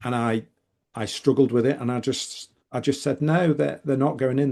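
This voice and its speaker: Speaking with a northern English accent, a man uses a dark, mellow tone at medium pitch, with ordinary pitch variation and a moderate pace over a quiet background. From northern England, Manchester. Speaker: author and business consultant. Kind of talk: podcast interview. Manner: animated, frequent repetitions and fillers.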